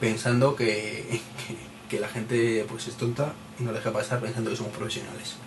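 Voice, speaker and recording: Over background music and audible room echo, a man of medium pitch talks at a moderate pace in a monotone, flat intonation. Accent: Madrid. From Spain, Madrid. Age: 30s. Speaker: tech podcaster. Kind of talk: solo podcast monologue. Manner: hesitant, many repeated words; casual, chatty.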